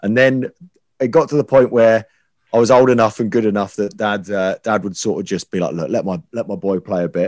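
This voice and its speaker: A man talks at a fairly quick pace in an ordinary speaking voice, medium in pitch with ordinary pitch variation, the sound dry and close with no echo. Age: 20s. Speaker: radio presenter. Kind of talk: casual chat.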